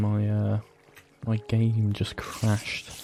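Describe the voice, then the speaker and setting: Noticeable background noise sits behind a man speaking in a fairly low voice. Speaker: gaming video creator. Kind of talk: gameplay commentary. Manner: halting, many fillers.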